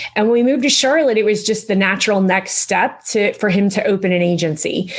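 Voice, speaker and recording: The voice has a slight Southern US accent and ordinary pitch variation. Noticeable background noise can be heard. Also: woman. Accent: slight Southern drawl. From Western Pennsylvania. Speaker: insurance agency owner. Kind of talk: podcast interview.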